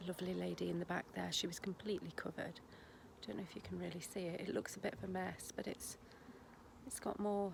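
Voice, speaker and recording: A woman speaks with an English accent. Her pace is very fast. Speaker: vlogger, home-educating mum. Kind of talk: casual vlog talk to camera. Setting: garden outdoors. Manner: quiet, kept low.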